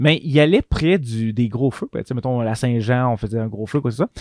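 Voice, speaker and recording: A man in a Quebec accent is recorded with a dry, close sound and no echo. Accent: Québécois French. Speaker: nurse and game master. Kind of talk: casual chat.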